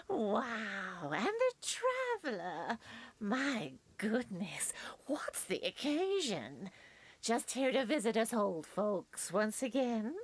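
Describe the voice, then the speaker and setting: A woman puts on a character voice at a very slow pace, pitched fairly high with very wide pitch swings. Her loudness stays very even throughout. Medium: video game. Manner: warm, chatty.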